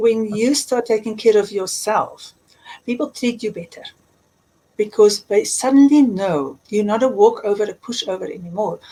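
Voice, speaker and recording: A woman with a South African accent speaks with ordinary pitch variation. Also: fairly high pitch for a woman, moderate pace. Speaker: life coach and author. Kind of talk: interview. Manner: emphatic.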